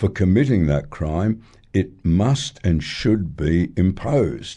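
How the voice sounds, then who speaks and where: A man with a dark, mellow tone speaks at a very slow pace. His intonation is lively. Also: quiet background. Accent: Australian. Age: 70s. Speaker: retired judge, radio commentator. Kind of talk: radio talkback interview. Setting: radio studio.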